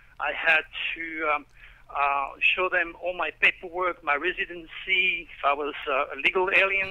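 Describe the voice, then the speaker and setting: In a French accent, a man with a high voice talks at a fairly slow pace with fairly even intonation. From France, Provence. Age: 60s. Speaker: astrologer. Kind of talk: radio interview.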